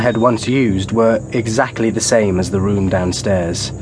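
A man talks with ordinary pitch variation and a moderate pace, noticeable background noise behind him. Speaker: audiobook narrator. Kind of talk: dramatic audiobook narration with dialogue. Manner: dark, measured, gothic, a wry dry edge in dialogue, vivid in the gory description.

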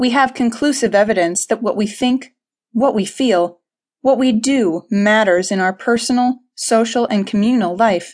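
Against a quiet background, a woman speaks at a moderate pace in an unremarkable speaking voice, fairly high-pitched with ordinary pitch variation and very even loudness. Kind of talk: audiobook narration, reading aloud a self-help text. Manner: measured, formal, earnest.

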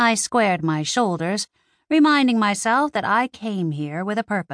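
An unforced reading voice with lively intonation comes through over a quiet background.

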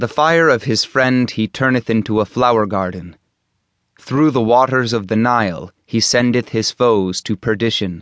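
Recorded dry and close with no echo against a quiet background, a man in an ordinary speaking voice talks at a moderate pace and medium pitch, with ordinary pitch variation and very even loudness. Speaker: audiobook narrator. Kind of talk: audiobook reading of translated religious poetry. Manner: formal, measured, solemn.

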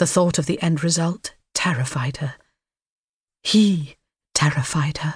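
Fairly slow, somewhat breathy speech with long, frequent pauses and ordinary pitch variation. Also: woman, very deep, low pitch for a woman. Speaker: audiobook narrator. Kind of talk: dramatic audiobook narration of a thriller, read aloud. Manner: hushed, tense, suspenseful pacing with ominous, measured delivery.

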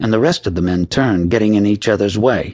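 The speaker reads aloud. It is a natural reading voice.

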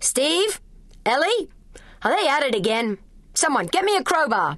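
A put-on character voice bellows at a high pitch with very wide pitch swings. The pace is moderate. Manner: bellowing, humorous.

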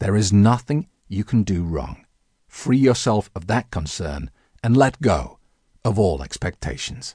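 Fairly low in pitch, a man speaks slowly with vocal fry and a dark, mellow tone, his pitch swinging very widely. The sound is dry and close with no echo against a quiet background. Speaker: audiobook narrator and hypnotist. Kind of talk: hypnosis audiobook narration. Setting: recorded audiobook with background music.

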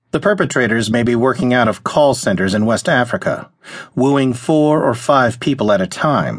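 An unremarkable speaking voice with lively intonation comes from a man at a medium pitch, recorded with a quiet background. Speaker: audiobook narrator. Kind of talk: audiobook narration of a news feature. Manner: formal, even, measured news-reporting read.

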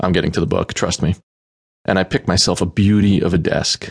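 In a dry, close recording with no echo, a man with a fairly low pitch speaks in a deadpan, animated tone. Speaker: audiobook narrator. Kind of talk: dramatic narration of a comic novel, in character as Chip, reading emails aloud. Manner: animated, sarcastic, casual slacker tone with exasperated outbursts; deadpan joking asides, conversational and profane.

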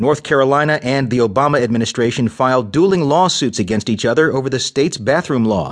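Against a quiet background, a man with a plain, everyday voice speaks at a fairly quick pace and medium pitch, his intonation lively. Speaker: news reader. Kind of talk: news reading. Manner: formal, brisk headline delivery; even, measured newsreader tone.

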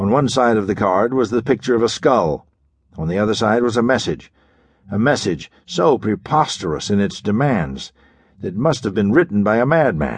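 Speaking at a moderate pace, a man with a fairly low pitch uses lively intonation in an unremarkable speaking voice. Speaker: audiobook narrator. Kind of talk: dramatic audiobook narration of a pulp thriller. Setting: studio. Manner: gripping, measured storytelling pace with building suspense; crisp, urgent delivery in action passages, ominous in mystery.

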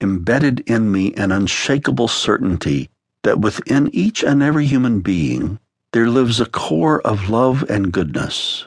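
A man with a plain, everyday voice talks fairly slowly at medium pitch with lively intonation, the sound dry and close with no echo. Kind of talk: audiobook narration, author reading his own memoir-style spiritual text aloud. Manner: measured, warm, earnest, pastoral tone with reflective pacing.

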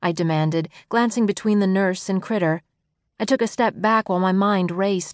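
Here is an unforced reading voice, its pitch varying in an ordinary way. Nothing much sounds in the background.

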